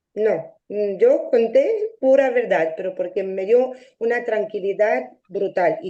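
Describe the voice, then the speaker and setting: A woman speaks at a fairly slow pace in a dark, mellow tone with ordinary pitch variation. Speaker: mediation participant. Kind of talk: interview testimony. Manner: halting.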